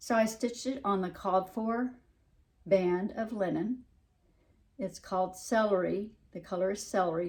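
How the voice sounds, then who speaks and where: With a Southern US accent, a woman talks at medium pitch and a moderate pace. Her pitch varies in an ordinary way, and her pauses are long and frequent. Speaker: cross-stitch hobby vlogger. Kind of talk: casual show-and-tell vlog. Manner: words slurred together; halting, many fillers.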